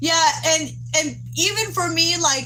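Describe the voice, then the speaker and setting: A woman with an American accent speaks very slowly, with audible room echo and noticeable background noise. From Texas. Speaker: livestreamer. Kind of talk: casual live chat with viewers. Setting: outdoors. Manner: halting, gets tongue-tied.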